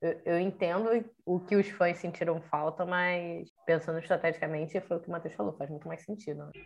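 This woman has an unremarkable speaking voice, pitched fairly low, with fairly even intonation. She talks at a fairly quick pace, and her loudness swings a lot. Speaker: podcast co-host. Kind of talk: casual chat.

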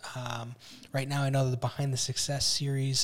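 On a very clean recording with a silent background, a man with an American accent speaks at a fairly quick pace in a somewhat breathy voice of medium pitch. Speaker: podcast co-host, business owner. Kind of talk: casual chat. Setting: studio.

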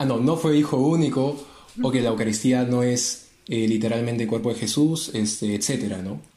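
This man's voice sits at a medium pitch, with a dark, mellow tone. His pitch varies in an ordinary way, and audible room echo surrounds it. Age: 20s. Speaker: apologetics co-presenter, industrial engineer. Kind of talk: casual religious discussion.

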